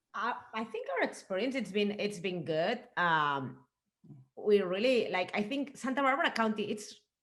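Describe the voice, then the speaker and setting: A fairly high-pitched woman's voice in a Spanish accent, with lively intonation. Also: moderate pace. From Spain. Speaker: winemaker. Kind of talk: casual interview chat.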